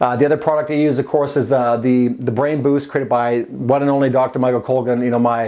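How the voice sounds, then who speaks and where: Music plays in the background as the speaker goes at a very fast pace with monotone, flat intonation. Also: man. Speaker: fitness coach and supplement promoter. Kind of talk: casual vlog advice monologue. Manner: halting, many repeats and fillers.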